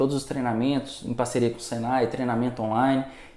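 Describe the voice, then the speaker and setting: A man speaks at a medium pitch with a dark, mellow tone in a Minas Gerais accent. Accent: mineiro Brazilian Portuguese. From Minas Gerais, Brazil. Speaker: solar energy entrepreneur. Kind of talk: casual podcast interview. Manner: fast.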